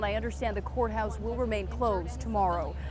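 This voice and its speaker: A woman's fairly quick speech comes through noticeable background noise. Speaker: TV news reporter and anchor. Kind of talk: live TV news report. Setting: outdoors, on location at a news scene.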